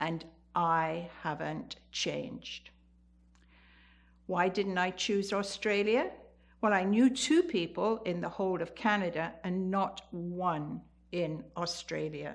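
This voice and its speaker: A woman in an English accent, very slow, medium-pitched, with ordinary pitch variation, on a very clean recording with a silent background. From England, the Fens (Cambridgeshire). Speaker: community storyteller, senior. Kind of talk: personal storytelling.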